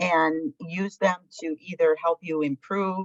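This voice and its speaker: A plain, everyday voice with ordinary pitch variation and a dry, close sound with no echo. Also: woman. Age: 60s. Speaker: alumni panelist. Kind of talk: panel discussion.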